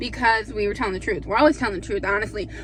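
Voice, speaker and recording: A woman talks while noticeable noise sounds in the background. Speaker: vlogger. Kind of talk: casual chat. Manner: animated.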